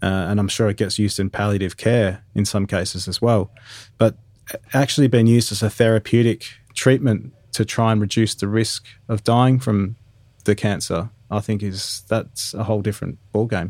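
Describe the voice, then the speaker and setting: With an Australian accent, a man of fairly low pitch speaks at a moderate pace with fairly even intonation. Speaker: podcast host. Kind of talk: casual interview. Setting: remote recording.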